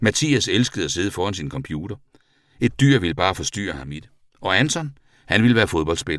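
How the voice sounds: The voice reads in a natural manner.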